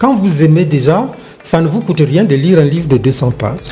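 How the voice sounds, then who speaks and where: A man's voice over music in the background. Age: 70s. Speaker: retired sports journalist and broadcaster. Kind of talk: interview answer.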